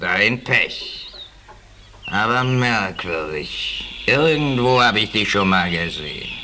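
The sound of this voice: Putting on a character voice, a man speaks slowly at a fairly low pitch in a bright, sharp tone. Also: lively intonation.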